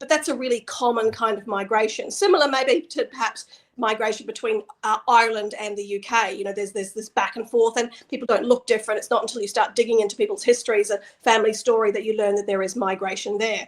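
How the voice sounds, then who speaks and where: A woman with a fairly high pitch speaks at a very fast pace, her intonation fairly even. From New Zealand, then Australia from age ten. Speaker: nonprofit communications manager. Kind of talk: interview conversation. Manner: hesitant, many fillers.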